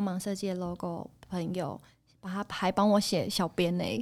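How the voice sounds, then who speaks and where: In a normal speaking voice, a woman talks at a fairly slow pace with a medium pitch and fairly even intonation. The recording is very clean, the background silent. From Taiwan, Taipei. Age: 30s. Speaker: night market food stall owner. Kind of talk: casual interview.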